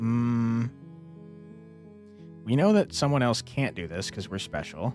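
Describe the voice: Over faint background music, a man with a medium-pitched, slightly mellow voice speaks at a slow pace with big pitch swings.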